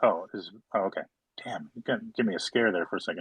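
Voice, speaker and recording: A man speaks with vocal fry. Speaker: company marketing head hosting community AMA. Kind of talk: live audio chat room Q&A. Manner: fast.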